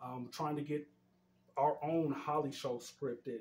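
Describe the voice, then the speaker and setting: Somewhat breathy, a man with an American accent speaks with fairly even intonation. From Denver, Colorado, US. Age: 40s. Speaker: community activist. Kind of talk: interview conversation.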